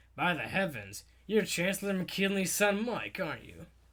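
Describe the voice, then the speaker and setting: A man's raspy, put-on character voice at a high pitch, moderate pace and fairly even intonation. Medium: read story. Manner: brisk, authoritative.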